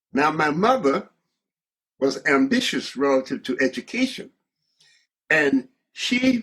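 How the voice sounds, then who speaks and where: With a Southern US accent, a man speaks in a high pitch with very wide pitch swings and a bright, sharp tone. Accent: Southern American English. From Georgia, USA. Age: 80s+. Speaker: surgeon, educator and civil rights leader. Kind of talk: interview answer.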